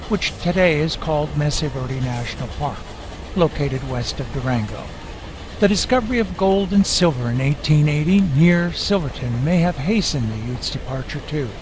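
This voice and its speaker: A man with an American accent and lively intonation, amid noticeable background noise and audible room echo. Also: fairly high pitch for a man, moderate pace. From Iowa, US Midwest. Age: 60s. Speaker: motorcycle travel vlogger. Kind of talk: scripted narration.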